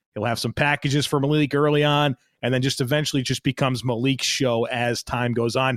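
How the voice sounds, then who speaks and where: A man speaks in a normal speaking voice at a moderate pace with ordinary pitch variation. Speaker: sports podcast host. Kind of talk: casual banter, mock draft discussion.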